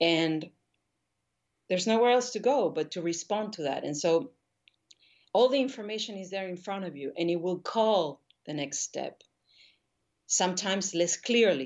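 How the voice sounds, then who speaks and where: In a Spanish accent, a woman with a medium pitch talks at a moderate pace, with big swings in loudness and long, frequent pauses. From Argentina, Buenos Aires. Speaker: painter. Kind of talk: interview conversation.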